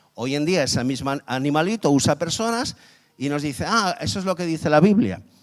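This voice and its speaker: Here a man talks at a fairly quick pace. His fairly high voice has lively intonation. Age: 50s. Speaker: guest preacher. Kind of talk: sermon. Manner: animated.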